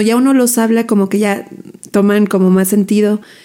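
A woman speaks fairly fast with fairly even intonation. Her pitch is fairly high and her tone dark and mellow. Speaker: photographer and podcast host. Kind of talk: casual monologue. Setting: home recording on video.

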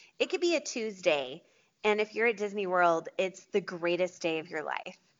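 Speaking at a moderate pace with lively intonation, a woman uses a plain, everyday voice at medium pitch. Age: 30s. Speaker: small business owner. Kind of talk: casual chat.

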